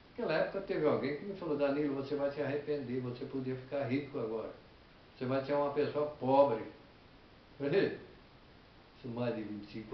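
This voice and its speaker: Despite long, frequent pauses, a man with a fairly high pitch talks at a very fast pace, with noticeable background noise and audible room echo. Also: lively intonation. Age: 70s. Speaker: retired farm technician giving life advice. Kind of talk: personal testimony and moral advice.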